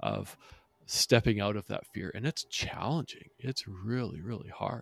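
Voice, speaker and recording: A man with an American accent and vocal fry speaks at a moderate pace on a very clean recording with a silent background. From northern US. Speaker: podcast host. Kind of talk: casual interview.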